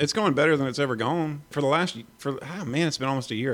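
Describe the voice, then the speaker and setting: With ordinary pitch variation, a man with an American accent talks at a very fast pace in a very clean recording with a silent background. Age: 30s. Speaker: guitarist and singer. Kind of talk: casual interview chat.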